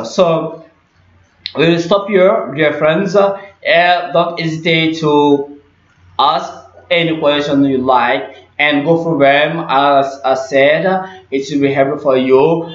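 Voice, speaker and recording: Speaking very slowly, a man with a fairly high pitch is heard with audible room echo. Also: fairly even intonation, very even loudness. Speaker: English teacher. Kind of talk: tutorial.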